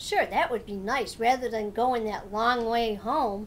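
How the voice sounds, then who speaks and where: A woman's put-on character voice, fairly high-pitched and fairly slow, over clear background noise. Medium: read story.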